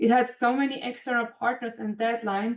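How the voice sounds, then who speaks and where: A woman speaks with a German accent at a fairly quick pace. Her fairly high voice has a monotone, flat intonation. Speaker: composites industry manager and engineer. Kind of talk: career talk to students.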